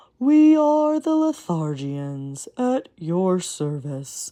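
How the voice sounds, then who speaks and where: This put-on character voice moves at a very slow pace. Its pitch swings very widely. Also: female-sounding voice, medium pitch for a woman. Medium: read story. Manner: yawning, sleepy.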